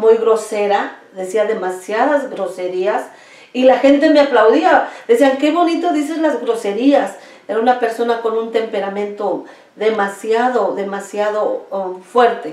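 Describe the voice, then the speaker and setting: A woman with a Mexico City accent speaks at a fairly slow pace in a fairly high voice with ordinary pitch variation, with noticeable background noise and audible room echo. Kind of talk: testimony. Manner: halting.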